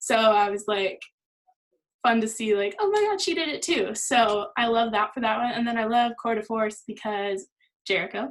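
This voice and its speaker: The speaker is a woman with a fairly high pitch. Her voice shows ordinary pitch variation. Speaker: model and fitness workout cast member. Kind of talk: Q&A on a team video call. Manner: fast.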